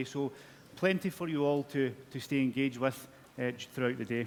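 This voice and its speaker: Speaking at a fairly quick pace, a man with a strong Scottish accent keeps his pitch medium. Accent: Scottish, broad. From Scotland. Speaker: corporate communications manager, presenter. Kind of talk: conference presentation. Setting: stage with audience. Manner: halting.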